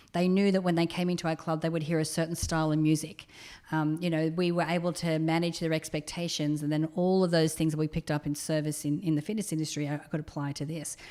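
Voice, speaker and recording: A woman's very deep, low voice with a dark, mellow tone and an Australian accent, delivered at a very fast pace with monotone, flat intonation. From Australia, rural New South Wales (Orange). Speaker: entrepreneur, company co-founder. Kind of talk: podcast interview.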